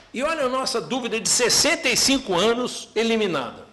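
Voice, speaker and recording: A man speaks in a raised, projected voice with an extremely high pitch and a Brazilian accent. His intonation is lively, and background noise is noticeable. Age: 70s. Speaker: professor. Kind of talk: parliamentary hearing testimony. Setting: closed-door parliamentary hearing.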